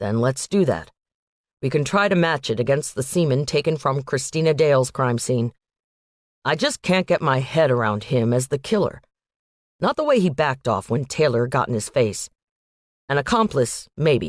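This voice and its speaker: In a put-on character voice, a growling, low-to-middle pitched voice moves at a moderate pace with long, frequent pauses. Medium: read story. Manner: measured, reflective.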